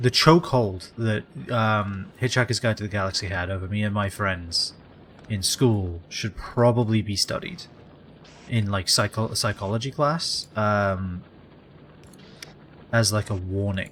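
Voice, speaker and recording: In a British accent, a man with a fairly low pitch talks at a fairly slow pace with ordinary pitch variation and long, frequent pauses. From England. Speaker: video game streamer. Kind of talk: casual live-stream chat. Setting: live stream. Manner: halting, with many fillers and repeats.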